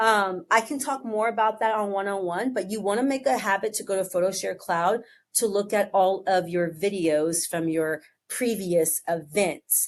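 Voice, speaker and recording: An ordinary speaking voice from a woman, medium in pitch, with ordinary pitch variation, a moderate pace and a quiet background. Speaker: photo booth business owner and tutorial host. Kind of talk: tutorial.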